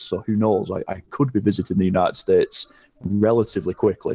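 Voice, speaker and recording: The speaker goes at a very fast pace with a northern English accent. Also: man. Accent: northern English, unchanged since moving. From northern England. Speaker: gaming content creator. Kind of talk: casual interview chat.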